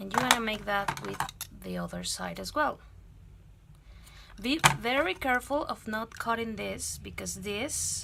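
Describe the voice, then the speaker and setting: A woman speaks with a non-native accent. Her pace is fairly slow. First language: not English. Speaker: craft youtuber. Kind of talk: tutorial. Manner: halting.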